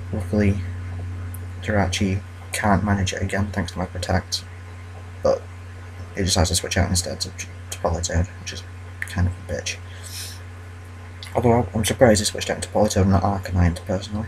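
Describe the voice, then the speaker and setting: The delivery is fairly quick yet broken by long, frequent pauses, with monotone, flat intonation. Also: man, very deep, low pitch for a man. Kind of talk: casual gameplay commentary. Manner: hesitant, lots of fillers.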